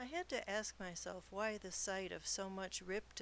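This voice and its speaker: This is a normal speaking voice at a fairly slow pace, with fairly even intonation. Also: woman. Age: 60s. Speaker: podcast host and novelist. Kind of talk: podcast monologue.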